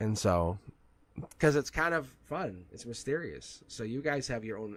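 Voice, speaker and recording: Vocal fry and very wide pitch swings in a man's speech. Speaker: streamer doing card readings. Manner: casual, rambling.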